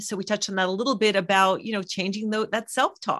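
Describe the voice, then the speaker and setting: Against a quiet background, a woman with an unremarkable speaking voice talks at medium pitch with fairly even intonation. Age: 50s. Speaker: psychologist and health coach. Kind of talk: casual interview.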